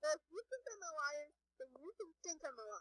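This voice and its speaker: A squeaky, put-on character voice at a fairly quick pace, full of very wide pitch swings. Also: woman. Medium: audio drama.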